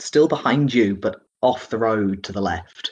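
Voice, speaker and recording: A British-accented man's voice with ordinary pitch variation. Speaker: dungeon master. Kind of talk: tabletop roleplaying game session, narrating.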